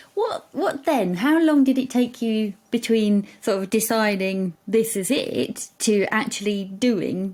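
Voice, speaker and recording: Somewhat breathy and fairly high-pitched, a woman talks at a very slow pace with hardly any pauses. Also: ordinary pitch variation. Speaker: podcast host, branding expert. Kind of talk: interview. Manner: energetic; bubbly.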